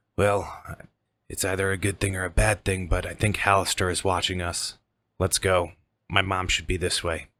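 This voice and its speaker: Using a put-on character voice, a man speaks with a very deep, low pitch, a raspy sound, monotone, flat intonation and a moderate pace. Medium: actual play.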